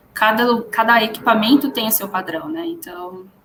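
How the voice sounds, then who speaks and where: A woman speaks with lively intonation. Audible room echo and noticeable background noise are present. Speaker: data scientist, conference speaker. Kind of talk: conference Q&A.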